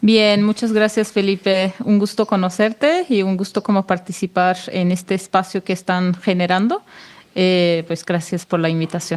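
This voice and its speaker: Her pitch medium for a woman, she speaks at a moderate pace. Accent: Mexican. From Turkish-occupied Kurdistan. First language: Kurdish (speaking Spanish). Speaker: researcher on Kurdish self-governance. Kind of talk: podcast interview. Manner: halting, with many repeats.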